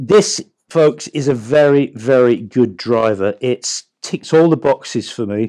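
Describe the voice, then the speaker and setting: This man talks at a medium pitch with ordinary pitch variation and an English accent. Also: dry, close sound with no echo. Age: 50s. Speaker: golf coach. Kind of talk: product review.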